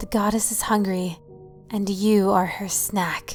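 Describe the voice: Intonation stays fairly even as the text is simply read aloud in a plain way.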